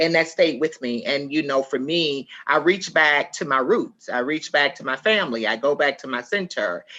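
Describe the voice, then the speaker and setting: Lively intonation, big swings in loudness, a bright, sharp tone and hardly any pauses. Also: woman, very deep, low pitch for a woman. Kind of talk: panel discussion. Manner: fast.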